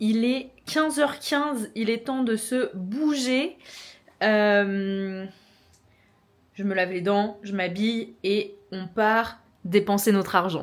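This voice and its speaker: A woman's fairly high voice at a very slow pace, with long, frequent pauses and ordinary pitch variation. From France, Normandy. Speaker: vlogger. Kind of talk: casual vlog talk to camera. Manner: casual, filler-heavy (euh, genre).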